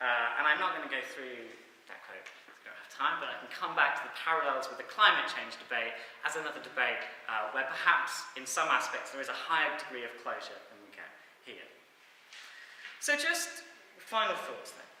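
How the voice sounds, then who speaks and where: Noticeable background noise along with audible room echo. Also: man, big swings in loudness. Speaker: social science academic. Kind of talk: academic talk. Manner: fast.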